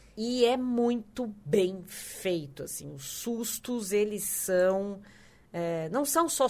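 Lively intonation runs through this woman's speech. Her pitch is medium. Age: 40s. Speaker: podcast co-host. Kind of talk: casual chat.

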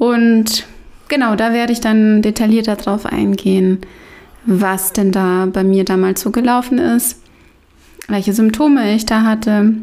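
A woman's fairly high voice, dark and mellow in tone, moves at a fairly slow pace with fairly even intonation and long, frequent pauses. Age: 30s. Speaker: podcast host. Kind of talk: casual chat.

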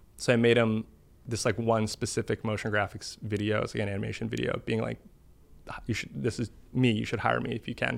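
A man with an American accent, a fairly low pitch, vocal fry and a fairly quick pace. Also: fairly even intonation. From US Northeast, Boston. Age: 20s. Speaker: internet video artist. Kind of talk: casual chat.

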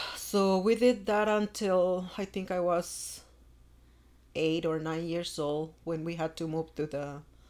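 A woman speaks slowly in a fairly low pitch, with little pitch movement and a slightly mellow tone.

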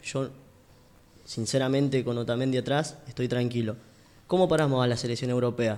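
Speaking at a fairly quick pace yet with long, frequent pauses, a man keeps a medium pitch and fairly even intonation. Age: 20s. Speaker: radio sports show host. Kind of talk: casual sports radio panel.

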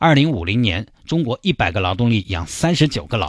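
Fairly low male pitch with lively intonation against a quiet background. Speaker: radio host. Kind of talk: casual radio commentary. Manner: animated.

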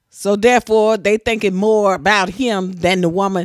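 A woman speaks at a medium pitch. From Tennessee. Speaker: host's mother. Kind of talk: casual chat.

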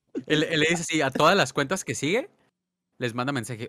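A man speaks at a moderate pace with a bright, sharp tone and lively intonation, recorded dry and close with no echo. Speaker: podcast co-host. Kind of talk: casual chat.

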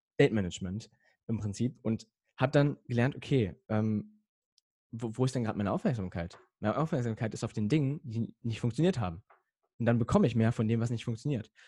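Somewhat breathy and dark, mellow in tone, a man at medium pitch with ordinary pitch variation talks at a fairly quick pace, leaving long, frequent pauses. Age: young. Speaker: emotional coaching guest, podcaster. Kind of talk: casual interview chat.

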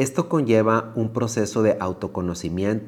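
This man has a normal speaking voice, pitched fairly low, and talks at a fairly slow pace. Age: 40s. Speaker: yoga teacher. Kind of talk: guided reflection talk.

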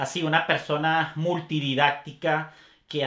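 A man speaks at a fairly high pitch. He has a Venezuelan accent. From Caracas, Venezuela. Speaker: photographer, father and business owner. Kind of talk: casual interview. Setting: studio.

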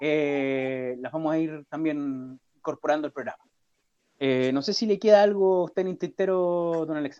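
Dry and close with no echo, a man's dark, mellow voice moves with ordinary pitch variation. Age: 30s. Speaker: podcast co-host. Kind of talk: casual chat.

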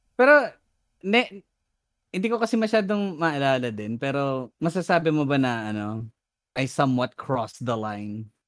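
Very clean recording over a silent background of a man's fairly high voice, moderate in pace, with very wide pitch swings. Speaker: podcast host. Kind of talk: casual chat.

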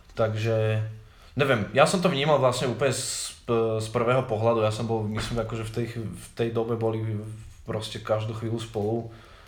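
A man speaks at a moderate pace with audible room echo. His pitch is medium and his intonation fairly even. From Slovakia, Záhorie (Malacky). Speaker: bistro owner and club promoter. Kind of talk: casual chat.

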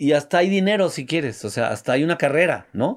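On a very clean recording with a silent background, a man with a Mexican accent speaks at a moderate pace. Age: 60s. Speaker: entrepreneur. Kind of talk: casual chat.

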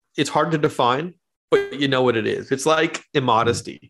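Speaking at a moderate pace, a man has an unremarkable speaking voice pitched fairly high. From Canada. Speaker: teaching pastor and theologian. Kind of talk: casual interview conversation. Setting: remote call.

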